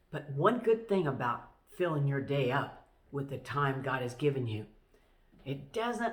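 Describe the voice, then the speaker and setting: Amid audible room echo, a woman with a very deep, low pitch speaks at a very slow pace. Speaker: pastor. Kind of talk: devotional talk.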